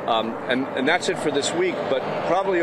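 Lively intonation in an American accent, with a dry sound with no echo and loud background noise. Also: man. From Boston. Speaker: city planner. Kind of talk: street interview. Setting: outdoors. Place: street. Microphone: lapel.

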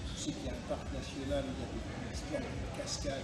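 A man's voice amid loud background noise and audible room echo. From Caribbean. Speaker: actor and voice-over artist. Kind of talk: interview answer. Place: street. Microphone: camera far.

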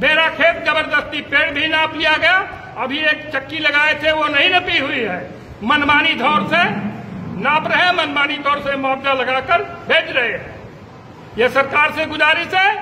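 Against light background noise, a man raises and projects his voice at an extremely high pitch, speaking at a fairly slow pace with fairly even intonation. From Uttar Pradesh, rural. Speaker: villager, farmer. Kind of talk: testimony; interview answer. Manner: halting. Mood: aggrieved, complaining. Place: hall.

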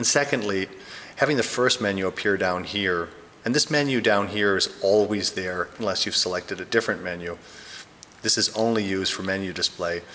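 A man's plain, everyday voice at a fairly low pitch and fairly quick pace, with ordinary pitch variation and light background noise. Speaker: product reviewer. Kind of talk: tutorial. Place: home room.

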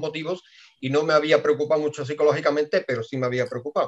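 With a quiet background, a man speaks very fast at a fairly high pitch. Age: 50s. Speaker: team member giving testimony. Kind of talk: testimony. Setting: video call. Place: office. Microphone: webcam.

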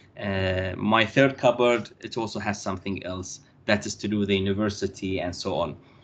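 A man's fairly low voice with an Arabic accent, fairly even intonation and a quiet background. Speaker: university lecturer. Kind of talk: lecture. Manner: halting.

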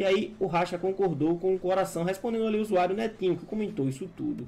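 A man speaks at a high pitch, varying it in an ordinary way. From interior of Bahia, Brazil. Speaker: gaming gossip news presenter. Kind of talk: gossip news reading.

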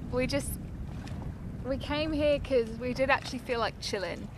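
A woman's high-pitched voice at a moderate pace, with ordinary pitch variation

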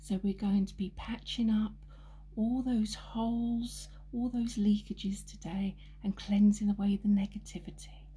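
Soft-spoken and gentle in tone, a woman talks at a fairly slow pace. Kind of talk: soft-spoken guided healing session. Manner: soft-spoken gentle ASMR voice. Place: home room.

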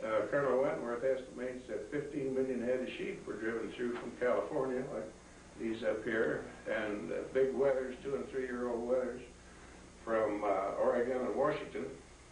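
Audible room echo and light background noise surround a man speaking at a moderate pace, medium in pitch with ordinary pitch variation. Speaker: retired livestock and sheep extension specialist. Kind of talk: history talk to a group. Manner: hesitant, filler-heavy. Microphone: camera far.

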